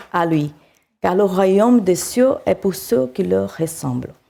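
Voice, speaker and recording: A woman with a South American accent, dark and mellow in tone, at a very slow pace. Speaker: preacher. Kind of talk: sermon. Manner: halting.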